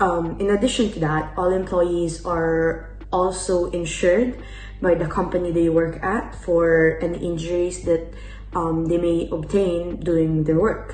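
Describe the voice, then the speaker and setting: With noticeable background noise and audible room echo, a woman with a fairly low pitch speaks at a fairly slow pace in a monotone, flat intonation. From Italy. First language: Italian. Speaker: exchange student. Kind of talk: interview answers. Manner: hesitant, many fillers.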